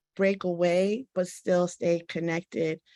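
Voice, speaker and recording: Using an ordinary speaking voice with an American accent, the speaker moves at a fairly slow pace with fairly even intonation. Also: woman. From Washington, D.C. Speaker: panelist, academic. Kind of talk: panel discussion. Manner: conversational, many filler words.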